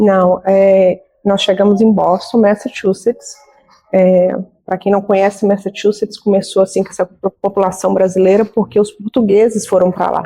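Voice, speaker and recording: Monotone, flat delivery from a woman, medium in pitch and moderate in pace. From Minas Gerais, Brazil. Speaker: nurse and beauty business owner. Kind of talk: interview.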